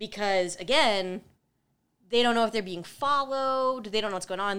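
This woman speaks with an American accent at a moderate pace. Her medium pitch shows ordinary pitch variation. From US Midwest. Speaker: podcast co-host. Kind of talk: casual chat.

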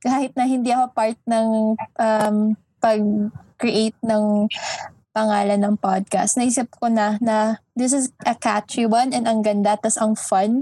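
A woman with a fairly high pitch and a dark, mellow tone speaks in a somewhat breathy voice at a fairly slow pace. Her intonation is monotone and flat, her loudness very even. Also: dry, close sound with no echo. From Philippines, Baguio City. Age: 20s. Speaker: law student, podcast co-host. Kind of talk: casual chat.

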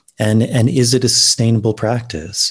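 A man is speaking. He has an American accent. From United States. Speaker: ayahuasca ceremony facilitator. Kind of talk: interview conversation. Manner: hesitant, many repetitions and fillers.

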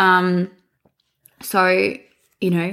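Here is a woman with an Australian accent. Her pitch sits fairly low. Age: 20s. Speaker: podcast co-host. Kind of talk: casual chat.

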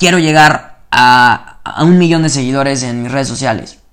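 In a room with audible echo, a man with a Mexican accent speaks in a fairly high pitch with fairly even intonation. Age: 20s. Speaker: podcaster. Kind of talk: motivational monologue. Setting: at home at night before bed. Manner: casual, slangy and spontaneous.

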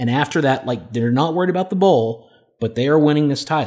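Recorded very cleanly over a silent background, a man speaks with ordinary pitch variation. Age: 30s. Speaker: sports podcast co-host. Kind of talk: casual chat. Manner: animated.

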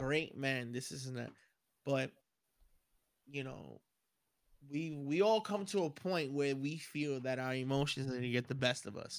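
A man talks at a fairly high pitch and moderate pace, with ordinary pitch variation and an animated tone. His speech has long, frequent pauses. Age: 30s. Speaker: podcast co-host. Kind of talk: casual chat.

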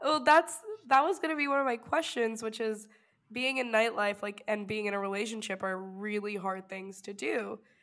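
A woman talks in a normal speaking voice, pitched fairly high. Her speed is moderate, and her pitch moves in a typical way. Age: 20s. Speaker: podcast host. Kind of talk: casual interview. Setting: cocktail hour, drinking while recording.

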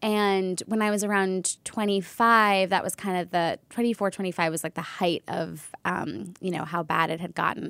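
In a normal speaking voice, the speaker goes at a moderate pace with fairly even intonation and hardly any pauses, on a very clean recording with a silent background. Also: woman, medium pitch for a woman. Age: 30s. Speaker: wellness entrepreneur. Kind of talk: casual chat.

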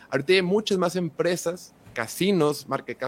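A Mexican accent with ordinary pitch variation. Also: man. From Mexico. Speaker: football content creator. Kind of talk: podcast interview.

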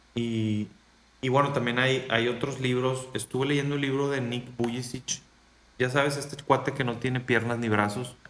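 The speech moves at a moderate pace with monotone, flat intonation. Noticeable background noise is present. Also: man, medium pitch for a man. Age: 30s. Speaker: motivational speaker and coach. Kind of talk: interview conversation.

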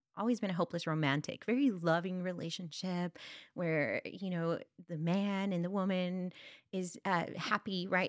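Speaking at a moderate pace and medium pitch, a woman with a South Texas accent is heard on a very clean recording with a silent background and a dry, close sound with no echo. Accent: South Texas Mexican-American English. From US South Texas border, Brownsville. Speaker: instructional coach. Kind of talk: interview.

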